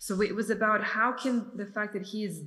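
Audible room echo surrounds a woman talking at a moderate pace in a flat monotone. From Serbia (Belgrade). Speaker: film director and editor. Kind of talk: festival Q&A. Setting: video call.

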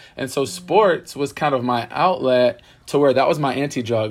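A man with an American accent speaks at medium pitch and a moderate pace in an ordinary speaking voice, captured in a very clean recording with a silent background. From US South, Pensacola, Florida. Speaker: PE teacher and basketball coach. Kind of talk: interview.

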